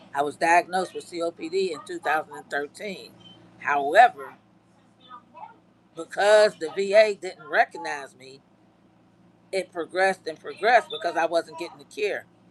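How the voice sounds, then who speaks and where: Amid noticeable background noise, a woman with a fairly low pitch talks at a moderate pace with ordinary pitch variation. Her loudness swings widely, and she leaves long, frequent pauses. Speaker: army veteran livestreamer. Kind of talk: live stream chat. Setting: live stream with green screen. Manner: halting.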